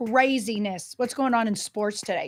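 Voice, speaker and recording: On a very clean recording with a silent background, a woman speaks in a St. Louis accent with ordinary pitch variation. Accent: St. Louis North County. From St. Louis North County. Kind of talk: vowels shift, 'forty' sounds like 'farty'.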